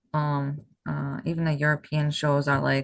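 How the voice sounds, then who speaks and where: This woman's voice sits at a very deep, low pitch. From Massachusetts, near Boston, Portuguese background. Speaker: bodybuilding competitor. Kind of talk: podcast interview.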